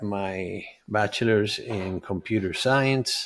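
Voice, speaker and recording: In a very clean recording with a silent background, a man with a Spanish accent talks at a fairly low pitch. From Venezuela. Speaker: health and life coach. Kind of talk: summit presentation. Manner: halting with fillers.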